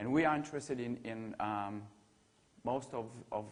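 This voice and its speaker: A man with a French accent. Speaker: ecology researcher. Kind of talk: academic seminar talk. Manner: hesitant, many fillers and repetitions.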